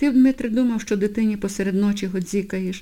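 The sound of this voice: Someone reads in an unforced reading voice. Pitch moves in an ordinary way.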